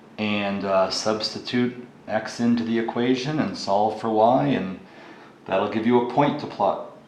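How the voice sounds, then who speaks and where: A man's medium-pitched voice with ordinary pitch variation at a moderate pace, with audible room echo and noticeable background noise. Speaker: math teacher. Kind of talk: tutorial.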